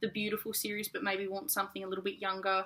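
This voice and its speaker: The speaker is a woman with an Australian accent. Her tone is bright and sharp. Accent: mild Australian. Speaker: book reviewer. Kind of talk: casual vlog review. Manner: fast.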